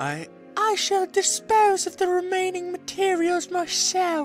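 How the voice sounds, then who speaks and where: A woman's put-on character voice at an extremely high pitch, at a fairly slow pace, with clear music in the background. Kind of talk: formal, archaic phrasing.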